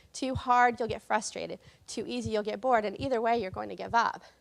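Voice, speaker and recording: A woman with an American accent speaks at a high pitch and a fairly quick pace. The recording is very clean, with a silent background. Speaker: language technologist. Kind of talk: conference talk. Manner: fast.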